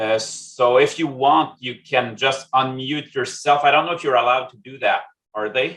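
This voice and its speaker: The man's loudness swings widely as he speaks in a French-Canadian accent. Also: medium pitch for a man, fairly even intonation, moderate pace. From Quebec, Canada. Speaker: statistics consultant. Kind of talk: presentation. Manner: halting, many fillers.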